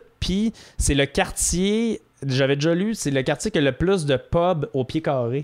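Here an ordinary speaking voice belongs to a man with a fairly high pitch and lively intonation, at a fairly slow pace. Loudness stays very even on a very clean recording with a silent background. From Quebec, South Shore of Quebec City. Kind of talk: casual chat.

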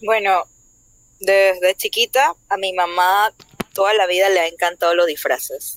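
A woman with a normal speaking voice talks at medium pitch and a fairly slow pace, with very even loudness and fairly even intonation. The sound is dry and close, with no echo. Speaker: cosplayer and event host. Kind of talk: casual chat.

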